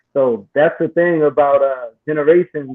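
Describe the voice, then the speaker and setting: A man with a fairly high pitch speaks in a plain, everyday voice with ordinary pitch variation. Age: 40s. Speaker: online talk show host. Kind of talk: casual panel discussion.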